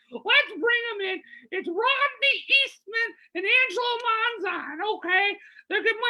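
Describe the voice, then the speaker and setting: This woman uses a put-on character voice at an extremely high pitch. Her pace is moderate. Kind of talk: comic talk show hosting. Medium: game stream. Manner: camp, brassy, gushing.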